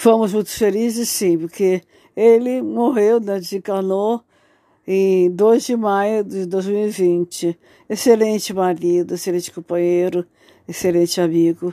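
In a very clean recording with a silent background and a dry, close sound with no echo, a woman speaks at a medium pitch and a fairly slow pace, her tone dark and mellow with ordinary pitch variation. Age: 60s. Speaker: widow telling her life story. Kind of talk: personal testimony. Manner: halting.

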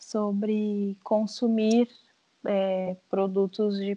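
In a dark, mellow tone, a woman speaks at a medium pitch with monotone, flat intonation. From southern Brazil, Rio Grande do Sul (São José do Norte). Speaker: teacher. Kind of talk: casual chat.

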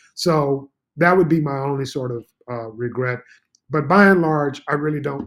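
With ordinary pitch variation and a fairly high pitch, a man talks in an ordinary speaking voice. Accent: American. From Texas (Beaumont). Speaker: school administrator and port commissioner. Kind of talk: interview.

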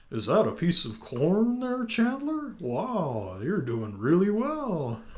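A man uses a put-on character voice at a high pitch. He moves at a fairly slow pace, with very wide pitch swings. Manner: comic put-on voice.

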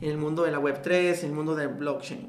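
Over noticeable background noise, a man talks in a fairly high pitch with fairly even intonation. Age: 50s. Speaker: network marketing entrepreneur and mentor. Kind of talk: interview.

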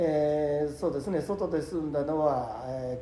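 A man speaks with a fairly high pitch and ordinary pitch variation. The room adds an audible echo. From Nagano, Japan (Takato, then Kiso). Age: 60s. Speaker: company president, pickle maker. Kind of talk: casual interview.

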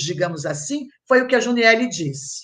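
A woman with a fairly high pitch, very wide pitch swings and some vocal fry talks at a moderate pace. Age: 60s. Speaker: historian and professor. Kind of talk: panel discussion.

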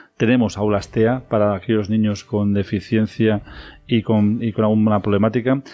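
A man's fairly low voice, monotone and flat in intonation, with very even loudness. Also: moderate pace. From Spain, Guadalajara (El Casar, near Madrid). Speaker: mayor and politician. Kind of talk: radio interview.

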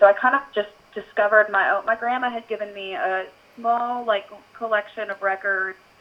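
With an American accent, a woman speaks at a moderate pace in a fairly high pitch with ordinary pitch variation. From US Midwest, Iowa. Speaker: country songwriter. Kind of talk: interview.

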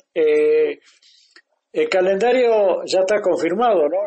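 A man with a high pitch speaks fairly slowly with ordinary pitch variation. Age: 70s. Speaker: radio host. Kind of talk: casual interview.

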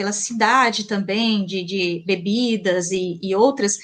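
Speaking in a strong São Paulo interior accent at a fairly slow pace, a woman is heard over noticeable background noise. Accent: strong caipira accent with retroflex R. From Mato Grosso, Brazil (Colíder). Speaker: language teacher. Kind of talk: interview. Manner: hesitant, many fillers.

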